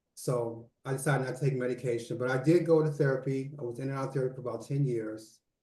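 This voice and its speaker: Somewhat breathy and dark, mellow in tone, a man speaks at a medium pitch and a very fast pace with fairly even intonation and hardly any pauses. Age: 60s. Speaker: author and mental health mentor. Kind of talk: interview.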